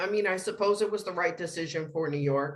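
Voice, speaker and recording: In an ordinary speaking voice, a woman talks at a fairly quick pace and a fairly low pitch, with ordinary pitch variation. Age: 60s. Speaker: school office manager. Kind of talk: press conference answers. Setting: press conference.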